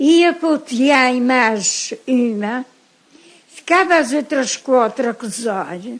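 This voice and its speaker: A woman speaks very slowly in a high voice. Her intonation is lively. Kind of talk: interview answer.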